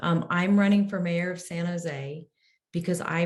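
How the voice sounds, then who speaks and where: At a moderate pace, a woman speaks with a fairly low pitch and a somewhat breathy voice. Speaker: mayoral candidate. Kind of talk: candidate forum answer.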